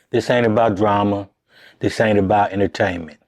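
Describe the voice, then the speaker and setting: This man talks with a fairly low pitch. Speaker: podcast host. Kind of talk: podcast intro to camera. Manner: earnest, serious.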